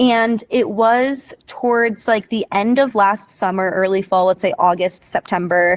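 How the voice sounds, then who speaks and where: A woman with an American accent speaks at a fairly slow pace in a fairly high voice, with ordinary pitch variation and very even loudness. It's an ordinary speaking voice, with hardly any pauses and a dry, close sound with no echo. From US Northeast (Connecticut). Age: 20s. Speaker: content creator, former preschool teacher. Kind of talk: interview conversation.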